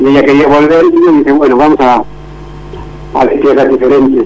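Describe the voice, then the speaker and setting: Over noticeable background noise, a man with a fairly high pitch talks fairly quickly in a monotone, flat delivery. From Spain, Valencia region (Denia). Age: 50s. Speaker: churro shop owner. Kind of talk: radio interview.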